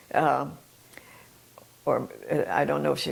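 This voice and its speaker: Noticeable background noise is present throughout. A woman talks over it. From Berlin, Germany. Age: 80s+. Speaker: Holocaust-era refugee, author. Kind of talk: interview answer.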